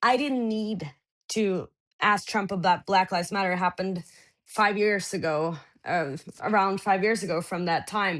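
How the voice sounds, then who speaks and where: In a Norwegian accent, a woman talks at a moderate pace with a medium pitch and ordinary pitch variation. The background is quiet. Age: 20s. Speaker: journalist. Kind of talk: interview. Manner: halting.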